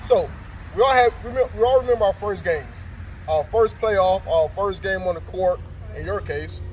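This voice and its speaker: A man speaks at a moderate pace, stopping often for long pauses. There is noticeable noise in the background. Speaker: life coach interviewer. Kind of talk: interview. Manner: animated.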